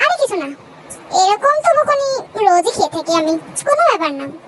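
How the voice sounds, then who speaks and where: A woman uses a put-on character voice at an extremely high pitch, with very wide pitch swings. She talks at a fairly quick pace over loud background noise. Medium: read story. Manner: mild, friendly.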